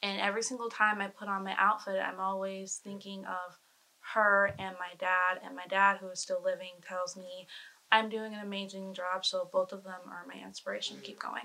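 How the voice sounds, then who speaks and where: A woman's fairly quick, monotone, flat delivery at a medium pitch, with big swings in loudness. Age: young. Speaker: cosplayer. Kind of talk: casual chat.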